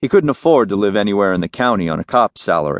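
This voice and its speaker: Speaking at a fairly quick pace, a man with a plain, everyday voice and a fairly low pitch uses lively intonation in a dry, close sound with no echo. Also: quiet background. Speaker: audiobook narrator. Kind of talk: dramatic audiobook narration of a crime novel, third person. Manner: intimate, moody, crisp storytelling that slips into character dialogue.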